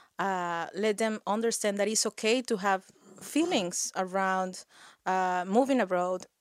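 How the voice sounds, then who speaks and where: A woman with a Spanish accent speaks at a medium pitch with ordinary pitch variation, her voice dry and close with no echo on a very clean recording over a silent background. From Mexico. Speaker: HR professional and community organizer. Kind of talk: interview.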